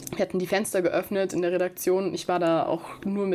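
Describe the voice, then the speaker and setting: A woman talks at a fairly quick pace and medium pitch. Noticeable background noise is present. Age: 20s. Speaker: student podcaster. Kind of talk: podcast trailer monologue.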